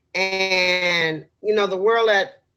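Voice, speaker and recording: Music plays behind a woman whose voice is fairly low in pitch. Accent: American. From New York City, Harlem. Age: 60s. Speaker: political candidate. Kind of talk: interview. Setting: podcast.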